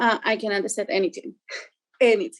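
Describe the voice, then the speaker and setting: A woman with a Spanish accent speaks at a high pitch. The sound is dry and close with no echo. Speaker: parent telling her experience. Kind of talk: testimony. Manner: halting.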